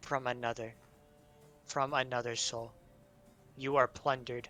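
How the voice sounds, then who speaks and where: Putting on a booming character voice, a man speaks at a medium pitch and a moderate pace in a monotone, flat intonation. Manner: ominous, commanding.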